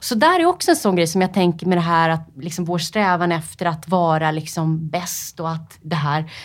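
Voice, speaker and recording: A woman speaks at a moderate pace with hardly any pauses, her intonation monotone and flat. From Sweden, Upplands Väsby. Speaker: freediver, world record holder. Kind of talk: interview. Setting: studio. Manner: hesitant, many fillers.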